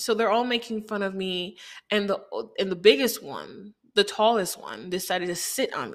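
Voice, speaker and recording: An ordinary speaking voice from a woman of medium pitch, at a moderate pace with ordinary pitch variation and big swings in loudness, on a very clean recording with a silent background. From Haiti, moved to Chicago at six. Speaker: podcast host. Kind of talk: personal storytelling monologue.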